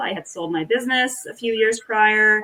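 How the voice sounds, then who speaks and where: Ordinary pitch variation marks this woman's speech, delivered at a moderate pace. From Nova Scotia, Canada (Acadian village). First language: French. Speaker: author. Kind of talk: interview.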